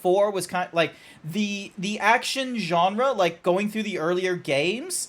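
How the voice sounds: The clip has a natural reading voice. Its pitch variation is ordinary.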